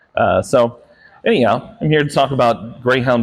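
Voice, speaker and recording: Ordinary pitch variation runs through this man's voice. He speaks at a fairly quick pace. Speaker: dog behaviorist. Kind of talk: public talk to an audience. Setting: live talk on lavalier mic with amplified speakers.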